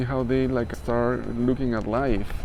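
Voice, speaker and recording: Speaking at a fairly slow pace with a non-native accent, a man is heard with audible room echo. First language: not English. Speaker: spiritual life coach. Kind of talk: motivational talk. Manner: casual, hesitant with fillers.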